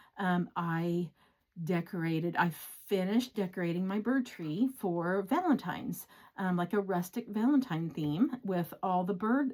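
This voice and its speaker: A woman speaks at a moderate pace in an ordinary speaking voice, her medium pitch carrying ordinary pitch variation. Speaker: cross-stitch vlogger and pattern designer. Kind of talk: casual chat. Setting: home craft room.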